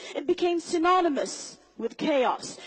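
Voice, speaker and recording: A woman speaks amid noticeable background noise. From Somali diaspora, raised outside Somalia. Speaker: public speaker. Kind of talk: motivational talk. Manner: animated.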